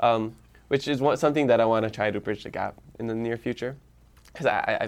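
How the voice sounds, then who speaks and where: Speaking with a Hawaiian accent at a very fast pace, a man keeps a medium pitch and fairly even intonation in a very clean recording with a silent background. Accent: Hawaii local English. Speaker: social media influencer, podcaster. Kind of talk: casual interview.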